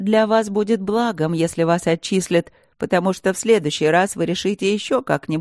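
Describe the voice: The pitch variation is ordinary in this plain reading aloud.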